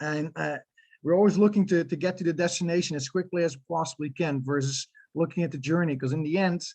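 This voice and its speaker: A man speaks very fast with a Dutch accent. His pitch is high and his intonation fairly even. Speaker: youth soccer club director. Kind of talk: presentation. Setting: info night town hall. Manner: hesitant, many fillers.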